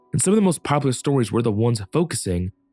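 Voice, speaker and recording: Dry, close sound with no echo and music in the background. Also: man. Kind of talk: scripted video essay commentary.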